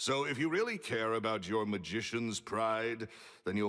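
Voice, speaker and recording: A man with a booming voice speaks with lively intonation. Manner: curt, dismissive.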